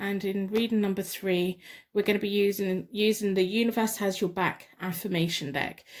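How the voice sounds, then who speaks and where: The recording is very clean with a silent background as a woman with an English accent speaks at a moderate pace. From England. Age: 40s. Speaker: tarot card reader. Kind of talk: tarot reading with guided meditation. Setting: home spare bedroom.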